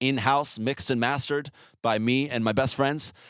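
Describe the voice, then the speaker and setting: A man with an American accent talks at a moderate pace in a plain, everyday voice, on a very clean recording with a silent background. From US Northeast. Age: 20s. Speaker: musician. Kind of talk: interview answers, casual. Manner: casual, filler-heavy.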